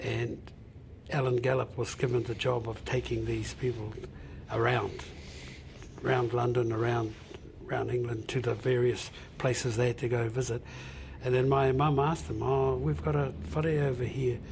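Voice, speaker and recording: A man speaks at a medium pitch, leaving long, frequent pauses. The room echo is audible. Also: ordinary pitch variation, moderate pace. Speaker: Māori elder and descendant. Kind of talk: interview. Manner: halting.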